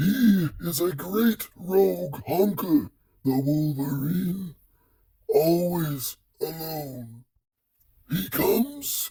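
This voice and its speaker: A man's put-on character voice, high-pitched and very slow, with lively intonation and long, frequent pauses. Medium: audio drama. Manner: solemn, broken simple speech.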